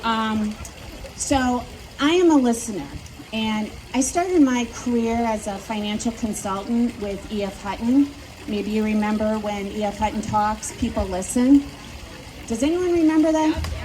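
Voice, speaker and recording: Amid noticeable background noise and audible room echo, a woman with a Midwestern accent speaks at a moderate pace, fairly high in pitch, with lively intonation. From US Midwest, Wisconsin. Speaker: local politician. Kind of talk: campaign speech. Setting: outdoors at plaza with audience.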